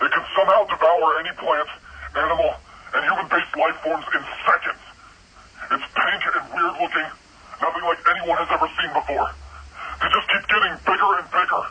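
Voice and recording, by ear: A man puts on a character voice, bright and sharp with a husky, rough edge and a fairly high pitch. He talks at a fairly quick pace with fairly even intonation and long, frequent pauses.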